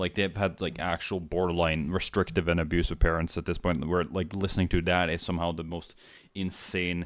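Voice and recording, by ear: A man at a fairly quick pace, low in pitch with little pitch movement, on a very clean recording over a silent background.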